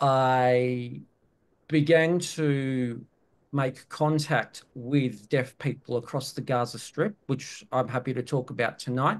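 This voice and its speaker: A man's medium-pitched voice at a very slow pace, with fairly even intonation. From Palestine (Ramallah) and Australia. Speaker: academic, activist. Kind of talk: panel talk. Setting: webinar video call.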